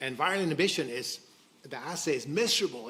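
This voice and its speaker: A man talking at a moderate pace, with audible room echo and noticeable background noise. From Sweden. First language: Swedish. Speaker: biotech company co-founder. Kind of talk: conference presentation. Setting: stage with audience. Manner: halting, many false starts.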